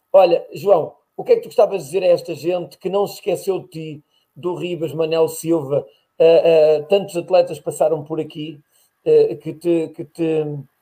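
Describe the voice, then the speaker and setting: The loudness rises and falls in big swings. This man keeps to a moderate pace. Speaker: podcast host, athletics. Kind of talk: casual interview chat.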